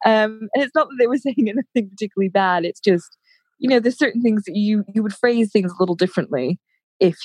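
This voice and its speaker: With an American accent, a woman of medium pitch talks at a fairly quick pace with lively intonation, her sound dry and close with no echo. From United States. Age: 30s. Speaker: podcaster. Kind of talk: casual chat. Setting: at home, remote call.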